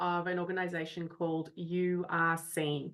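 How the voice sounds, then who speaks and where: Her tone is bright and sharp, with an Australian accent. The woman speaks at a fairly slow pace against a quiet background. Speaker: parent coach. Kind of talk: podcast interview.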